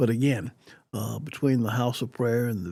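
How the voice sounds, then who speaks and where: A man speaks with an American accent in a dark, mellow tone. He sounds somewhat breathy, with ordinary pitch variation. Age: 70s. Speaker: retired TV news reporter and anchor. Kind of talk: interview answer. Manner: conversational, reflective.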